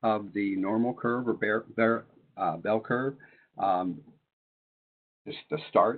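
A man's voice of medium pitch at a moderate pace, with ordinary pitch variation. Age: 60s. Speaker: retired math teacher and webinar presenter. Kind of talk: webinar presentation. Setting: online webinar.

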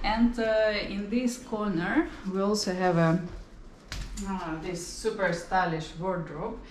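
A woman with a Ukrainian accent at a very slow pace, medium pitch and ordinary pitch variation, with audible room echo and light background noise. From Ukraine. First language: Ukrainian or Russian. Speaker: travel vlogger. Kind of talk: home tour vlog. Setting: walking around an apartment. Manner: animated. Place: home room. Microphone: camera far.

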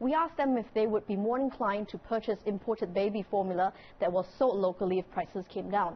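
A woman talks at a very fast pace in a somewhat breathy voice. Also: ordinary pitch variation. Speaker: TV news correspondent. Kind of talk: TV news report. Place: studio.

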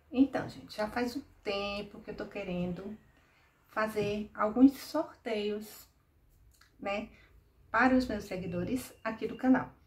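A woman speaks at a very slow pace with long, frequent pauses. Her voice is somewhat breathy, with big swings in loudness. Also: ordinary pitch variation. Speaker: doll clothes channel host. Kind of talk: casual vlog chat. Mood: warm, friendly. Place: home room.

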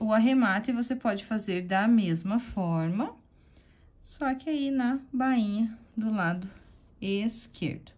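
Somewhat breathy and fairly high-pitched, a woman talks at a very slow pace with ordinary pitch variation. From Curitiba, Paraná, southern Brazil. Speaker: embroidery teacher. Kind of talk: tutorial. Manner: warm, chatty.

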